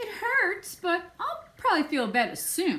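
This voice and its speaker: A woman puts on a squeaky character voice at an extremely high pitch. She speaks fairly slowly, with very wide pitch swings. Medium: read story.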